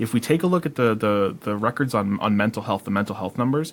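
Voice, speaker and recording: This man has an ordinary speaking voice at medium pitch with ordinary pitch variation. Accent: American. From Massachusetts, Worcester County. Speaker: podcast co-host. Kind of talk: casual chat.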